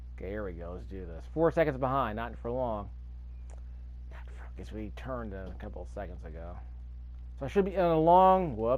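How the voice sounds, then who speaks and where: Talking at a fairly quick pace, a man leaves long, frequent pauses, his loudness swinging widely, with audible room echo around him. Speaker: gaming youtuber. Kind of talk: gameplay commentary. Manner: stuttering, fumbling over words; casual, thinking aloud.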